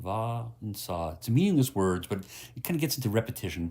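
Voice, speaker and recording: In a very clean recording with a silent background, a man with a medium pitch and a somewhat breathy, calm tone speaks with very wide pitch swings. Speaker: meditation guide. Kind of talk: guided meditation. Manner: slow, calm.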